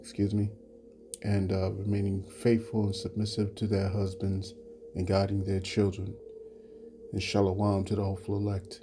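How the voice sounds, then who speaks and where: Music plays behind a man who talks at a moderate pace. His fairly low voice stays monotone and flat. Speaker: religious teacher. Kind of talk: religious lesson. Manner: low-voiced; halting, many fillers.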